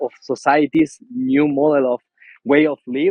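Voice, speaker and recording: A man with an Argentine accent speaks in a fairly high voice. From central Argentina. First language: Spanish. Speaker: co-founder of a regeneration project. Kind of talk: video call roundtable introduction. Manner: halting, repetitive non-native English.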